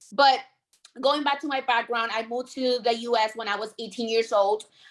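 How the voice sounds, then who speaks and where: In a very clean recording with a silent background, a woman with a strong Puerto Rican accent talks at a fairly quick pace in a fairly high, monotone, flat voice. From Puerto Rico. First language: Spanish. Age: 20s. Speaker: insurance sales agent. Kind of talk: training talk.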